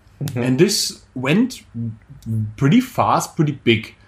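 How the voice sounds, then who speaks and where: This man has a German accent and a somewhat breathy voice. His pitch swings very widely, and he keeps a moderate pace. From Germany. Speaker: calisthenics coach and podcast co-host. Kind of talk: casual chat.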